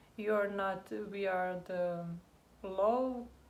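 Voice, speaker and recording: Audible room echo on a woman's medium-pitched speech. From Croatia. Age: 20s. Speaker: immigrant co-host. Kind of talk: casual chat. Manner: halting.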